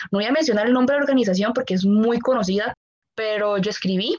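Pitched fairly high, a woman talks at a fairly quick pace with lively intonation. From Costa Rica. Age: 20s. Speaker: medical student. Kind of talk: interview.

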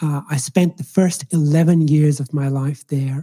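A man with a fairly high pitch speaks in a somewhat breathy, dark and mellow tone, his intonation fairly even and the sound dry and close with no echo. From Ireland. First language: Swahili. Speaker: doctor and medical professor. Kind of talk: casual interview. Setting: remote call.

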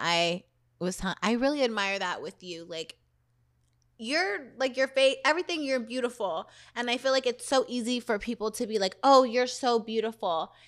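With an American accent, a woman speaks in a high pitch at a moderate pace. Her intonation is lively, and the recording is very clean with a silent background. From Southern California. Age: 30s. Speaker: podcast host, dancer. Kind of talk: casual chat.

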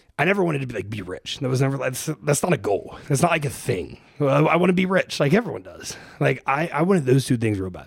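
Against noticeable background noise, a man with an American accent talks at a very fast pace, his fairly high voice making very wide pitch swings. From Ohio, US Midwest. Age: 20s. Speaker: fitness coach and entrepreneur. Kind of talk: casual interview. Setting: studio, in person.

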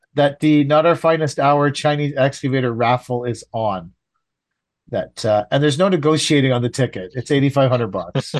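A man's fairly high voice at a moderate pace, ordinary pitch variation, an unremarkable speaking voice, and a quiet background. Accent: Canadian. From Canada. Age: 50s. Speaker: landscaping contractor podcast host. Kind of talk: casual chat.

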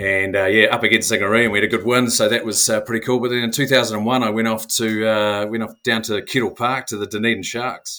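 A man with a New Zealand accent talks at a fairly quick pace in a bright, sharp tone. His medium pitch stays monotone and flat. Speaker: former professional rugby player. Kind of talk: casual interview chat.

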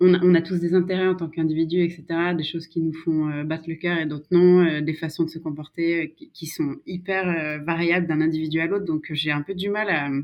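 Using an ordinary speaking voice, a woman with a fairly low pitch talks at a moderate pace with fairly even intonation. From France, Savoie (Maurienne valley). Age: 30s. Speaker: political adviser. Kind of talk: casual interview.

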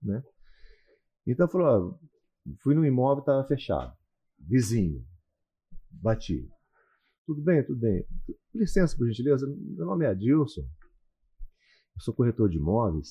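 At a fairly slow pace with long, frequent pauses, a man speaks in a dark, mellow, somewhat breathy voice of medium pitch that swings very widely. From Paraná interior, Brazil. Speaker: radio announcer and real estate broker. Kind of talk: casual interview.

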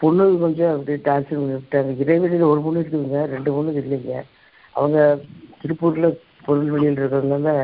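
With flat, monotone intonation, a woman talks in a very deep, low pitch. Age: 60s. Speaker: caller. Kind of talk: phone-in call.

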